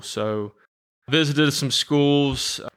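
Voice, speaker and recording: A bright, sharp tone comes through on a very clean recording against total silence. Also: man. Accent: Southern US. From US South, Georgia (Cherokee County). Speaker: special education teacher and coach. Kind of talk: casual interview.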